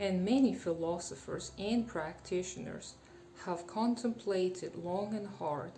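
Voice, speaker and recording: Music in the background behind a woman's fairly low voice, at a fairly slow pace with ordinary pitch variation. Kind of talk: political commentary to camera.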